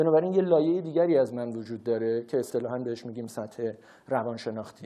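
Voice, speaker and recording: A man speaks very fast in a Tehran accent. His pitch is medium, with ordinary variation. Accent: Tehrani Persian. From Iran, Tehran. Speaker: researcher and public speaker. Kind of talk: lecture.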